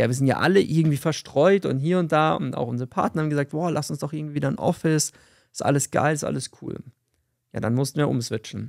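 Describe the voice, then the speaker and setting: A man talking at a very fast pace, ordinary pitch variation, quiet background. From Bavaria, Fürstenfeldbruck near Munich; Bavaria. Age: 30s. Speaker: podcast co-host, sales entrepreneur; podcast host. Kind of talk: casual chat. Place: office. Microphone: studio mic.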